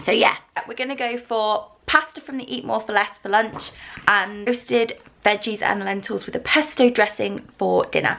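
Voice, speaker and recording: Speaking with an English accent, this voice shows ordinary pitch variation. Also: woman, fairly high pitch for a woman, moderate pace. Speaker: vlogger. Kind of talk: casual vlog talk.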